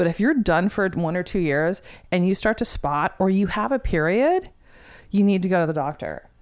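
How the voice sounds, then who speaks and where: A woman talks in a normal speaking voice at medium pitch and a moderate pace. Her intonation is lively and her loudness stays very even. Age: 50s. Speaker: guest discussing menopause. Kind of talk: casual chat.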